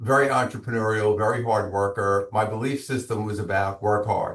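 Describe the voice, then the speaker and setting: In a Brooklyn accent, a man speaks at a fairly quick pace with a fairly low pitch and fairly even intonation. His voice is somewhat breathy, and the background is quiet. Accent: Brooklyn New York. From Brooklyn, New York. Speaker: business coach and author. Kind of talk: interview.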